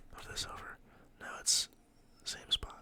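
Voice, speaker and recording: A man whispers over noticeable background noise. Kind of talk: ASMR tutorial, teaching how to solve a Rubik's cube. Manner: whispered, soft-spoken.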